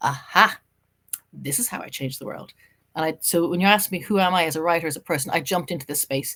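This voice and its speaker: With an Irish accent, a woman talks at a very fast pace in a fairly low pitch, her pitch varying in an ordinary way. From Ireland. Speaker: journalist and writer. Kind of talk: casual interview. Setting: podcast interview.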